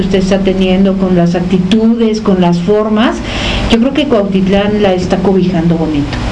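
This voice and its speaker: A woman speaks at a medium pitch with fairly even intonation. Audible room echo and noticeable background noise come through. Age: 50s. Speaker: radio host and psychologist. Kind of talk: radio interview.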